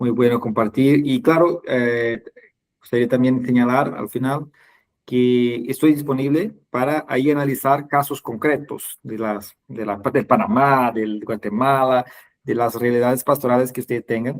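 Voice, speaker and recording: With a Portuguese accent, a man talks at a fairly slow pace. His intonation is fairly even. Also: medium pitch for a man. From Brazil. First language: Portuguese (speaking Spanish). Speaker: webinar host, catechesis trainer. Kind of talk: online webinar closing remarks. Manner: halting, many fillers.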